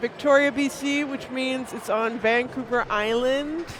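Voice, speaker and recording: Someone with a Canadian accent speaks at a very slow pace over noticeable background noise. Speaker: pinball stream commentator. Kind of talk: live commentary. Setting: stream from a pinball venue.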